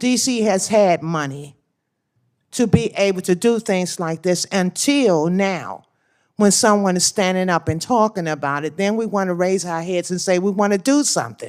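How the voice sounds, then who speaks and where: A plain, everyday voice with an American accent, moderate pace and ordinary pitch variation, on a very clean recording with a silent background. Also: woman, medium pitch for a woman. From Washington, D.C. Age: 60s. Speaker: crime victim's grandmother testifying. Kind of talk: testimony. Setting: senate hearing.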